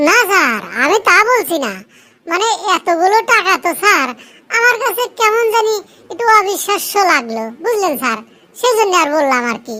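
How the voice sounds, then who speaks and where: A cartoonish character voice sits at an extremely high pitch with very wide pitch swings. The pace is moderate. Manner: deferential, calls the boss sir constantly.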